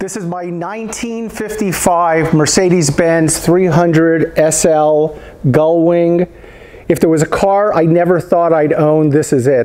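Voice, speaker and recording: A man speaks at a very slow pace with a high pitch. His intonation is fairly even. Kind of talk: casual tour commentary.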